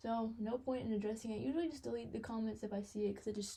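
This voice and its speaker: Fairly high in pitch and somewhat breathy, a woman speaks at a very fast pace. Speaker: content creator. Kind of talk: casual monologue.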